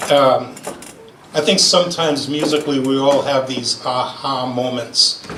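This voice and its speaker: With a Rhode Island accent, a man talks at a fairly high pitch with fairly even intonation, amid noticeable background noise and audible room echo. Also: moderate pace. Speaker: fifer and former army musician. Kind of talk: memorial speech. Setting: gathering after lunch with audience. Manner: halting, many fillers.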